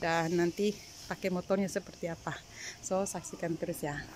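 A fairly low-pitched woman's voice, monotone and flat, dry with no echo and light background noise. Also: moderate pace. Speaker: cleaning service worker vlogger. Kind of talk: casual vlog chat. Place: home room. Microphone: phone near.

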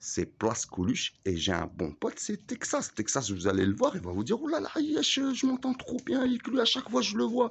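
At a moderate pace, a man talks with hardly any pauses. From Algeria. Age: 40s. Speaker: vlogger. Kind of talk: rant. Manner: halting. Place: street. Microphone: phone near.

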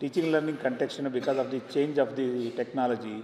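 Speaking at a moderate pace with fairly even intonation, the voice carries audible room echo over light background noise. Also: man. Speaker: conference host introducing speaker. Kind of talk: formal introduction speech. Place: hall. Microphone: podium.

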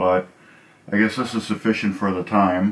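This man has a fairly low pitch and talks at a fairly slow pace. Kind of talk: tutorial. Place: home room.

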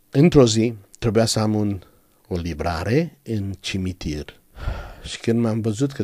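A man's dark, mellow voice at a fairly slow pace with ordinary pitch variation, in a very clean recording with a silent background. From Romania, Banat (Caraș-Severin). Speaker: pastor. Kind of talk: interview testimony.

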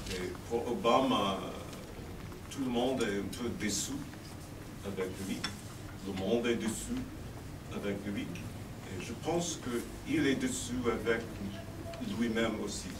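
With noticeable background noise in the recording, the talking is broken by frequent, lengthy pauses. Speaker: newspaper editor. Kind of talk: panel discussion. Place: meeting room.

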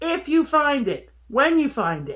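Against a quiet background, a woman is talking. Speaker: metal detecting vlogger. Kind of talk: casual vlog chat. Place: home room. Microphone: phone near.

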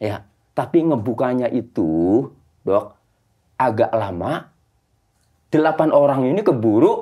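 Over a quiet background, a man with a medium pitch and dark, mellow tone speaks at a very slow pace with lively intonation and long, frequent pauses. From Indramayu, West Java, Indonesia. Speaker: lawyer. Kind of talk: podcast interview. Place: studio.

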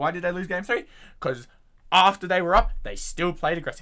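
Raising and projecting his voice, a man speaks at a high pitch in a bright, sharp tone. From Australia. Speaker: YouTuber reacting to videos. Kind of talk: casual reaction commentary. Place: home room.

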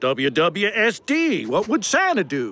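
A man's cartoonish character voice, high-pitched and bright with a sharp tone, with very wide pitch swings at a fairly slow pace

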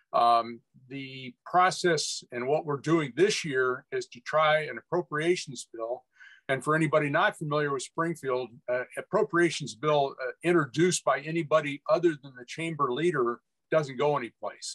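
A normal speaking voice at a moderate pace, with ordinary pitch variation, big swings in loudness and a quiet background. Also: man, fairly high pitch for a man. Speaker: rail advocate; panelist. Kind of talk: webinar presentation. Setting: video call. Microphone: video call.

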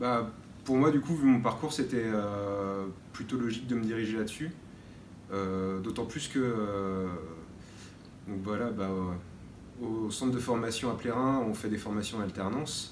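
Long, frequent pauses break up a man's speech, which has ordinary pitch variation, audible room echo and light background noise. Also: fairly slow pace. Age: 20s. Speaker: vocational student. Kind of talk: interview testimony. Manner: hesitant, many fillers. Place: hall.

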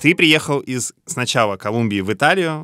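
Against a quiet background, a man with a bright, sharp tone and lively intonation speaks at a moderate pace in a dry sound with no echo. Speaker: podcast host. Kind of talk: interview, casual conversation. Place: studio.

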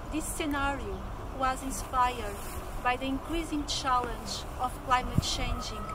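Loud background noise accompanies a woman speaking at a moderate pace. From Portugal. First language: Portuguese. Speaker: fantasy author; carer. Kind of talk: interview answer. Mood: calm, earnest. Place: garden.

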